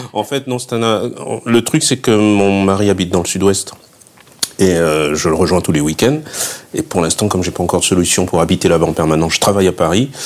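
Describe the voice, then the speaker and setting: Noticeable background noise sits under a man's very deep, low voice as he talks at a fairly quick pace with ordinary pitch variation. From southern France, Fréjus. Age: 50s. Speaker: guest-house owner. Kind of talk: interview. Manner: hesitant, with repetitions.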